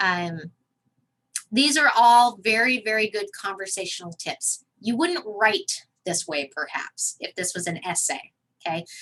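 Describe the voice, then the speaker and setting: A woman's fairly high, bright and sharp voice at a fairly slow pace, with very wide swings in pitch. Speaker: college communication instructor. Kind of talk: online class lecture.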